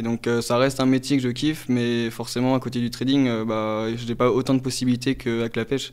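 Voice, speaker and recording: A man at a medium pitch talks at a fairly quick pace with hardly any pauses. His intonation stays monotone and flat. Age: 20s. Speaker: former fisherman turned trader. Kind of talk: interview testimony. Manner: halting, many fillers.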